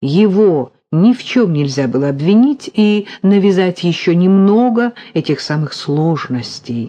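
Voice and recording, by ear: Someone reads aloud in a natural voice. Their intonation stays lively.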